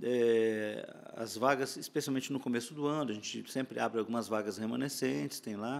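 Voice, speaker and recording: Ordinary pitch variation at a moderate pace. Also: man, medium pitch for a man. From Brazil, interior of São Paulo state. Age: 60s. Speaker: conductor and music arranger. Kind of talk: podcast interview. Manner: repetitive filler words, hesitant.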